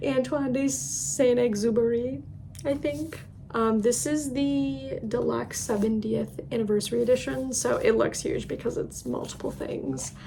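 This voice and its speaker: Speaking fairly slowly, a woman is heard amid noticeable background noise and audible room echo. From Ireland. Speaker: book youtuber. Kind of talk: casual book recommendation vlog. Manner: casual, filler-heavy.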